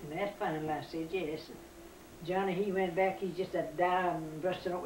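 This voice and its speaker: A woman with a fairly low pitch at a moderate pace, with fairly even intonation, audible room echo, and noticeable background noise. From US South. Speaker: family elder. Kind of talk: storytelling.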